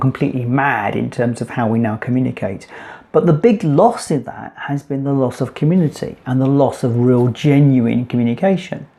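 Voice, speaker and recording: Against noticeable background noise, a man at medium pitch talks at a moderate pace with ordinary pitch variation. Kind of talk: casual talk to camera, business explainer. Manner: conversational, fluent with some hesitations.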